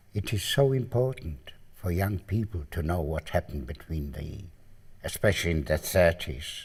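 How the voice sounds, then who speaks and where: Recorded very cleanly against a silent background, a man speaks at a fairly slow pace in a dark, mellow, somewhat breathy voice. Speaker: Holocaust survivor. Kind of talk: interview testimony.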